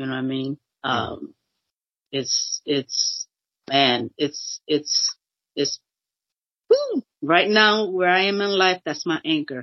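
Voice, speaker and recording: A woman with an American accent speaks at a very slow pace. Her speech has long, frequent pauses. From Boston, Massachusetts. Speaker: minister's widow and author. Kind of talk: interview.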